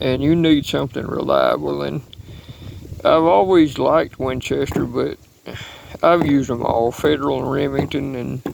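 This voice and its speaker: A man pauses often and at length, with noticeable noise around him. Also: moderate pace. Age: 60s. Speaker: hunter and reloading hobbyist. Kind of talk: casual video talk. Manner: halting.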